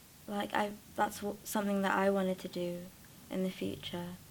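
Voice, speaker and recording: A woman with a Welsh accent. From South Wales. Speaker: acting student. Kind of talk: interview. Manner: halting.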